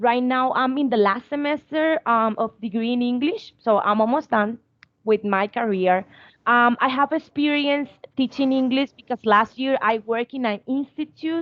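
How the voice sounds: Fairly high in pitch, a woman speaks at a fairly slow pace with ordinary pitch variation.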